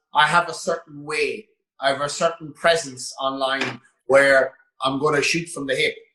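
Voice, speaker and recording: There is a bright, sharp tone to this man's voice, which carries an Irish accent and fairly even intonation. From west of Ireland, Roscommon. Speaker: gym owner and online coach. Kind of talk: casual interview chat.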